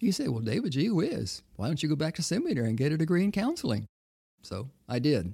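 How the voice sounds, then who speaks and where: The voice has an American accent and a dark, mellow tone. It is somewhat breathy and moves at a moderate pace. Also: man. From Texas. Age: 80s. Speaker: retired counselor and former minister. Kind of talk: interview conversation about life story.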